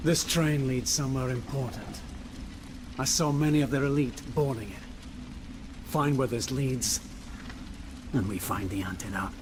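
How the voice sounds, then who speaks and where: Over loud background noise, a man uses a put-on character voice at medium pitch and a moderate pace, with long, frequent pauses. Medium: short film. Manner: grim, terse.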